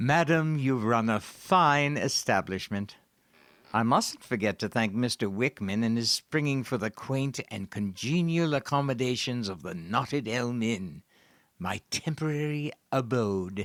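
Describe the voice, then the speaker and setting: In a gruff put-on character voice of medium pitch, a man talks at a fairly slow pace on a very clean recording with a silent background. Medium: audio drama. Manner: grandiloquent, theatrical; gruff, sardonic.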